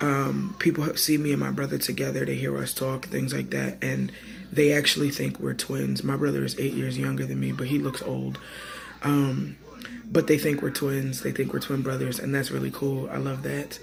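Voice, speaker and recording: A man speaks at a moderate pace as noticeable background noise runs underneath. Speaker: vlogger and teacher. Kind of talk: personal vlog update. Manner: casual, many fillers.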